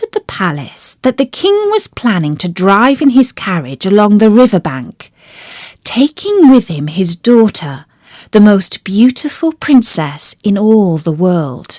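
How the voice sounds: A woman with a slightly mellow tone talks at medium pitch and a fairly slow pace, using big pitch swings in a dry, close sound with no echo.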